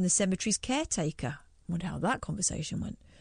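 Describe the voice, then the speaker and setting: A woman talks at a very fast pace, sounding somewhat breathy. The background is quiet. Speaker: radio co-host. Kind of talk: casual chat.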